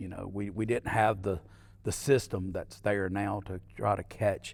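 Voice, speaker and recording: A man's fairly low voice at a moderate pace, on a very clean recording with a silent background. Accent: Alabama. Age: 60s. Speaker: mayor and entrepreneur. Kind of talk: podcast interview.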